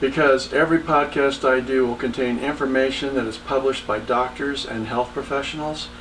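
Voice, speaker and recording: Noticeable noise fills the background. A man talks at a moderate pace over it. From Texas. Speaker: entrepreneur. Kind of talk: podcast monologue.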